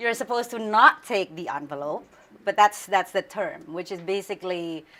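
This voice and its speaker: Woman with an Indonesian accent at a fairly quick pace. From Indonesia, Central Java. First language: Javanese. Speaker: news anchor. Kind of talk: interview.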